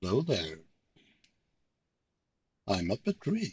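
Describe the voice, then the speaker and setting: A man with a Swedish accent speaks at a medium pitch, his voice somewhat breathy. His pitch swings very widely. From Sweden. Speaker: video game streamer. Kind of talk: casual gaming commentary. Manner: pauses to find words.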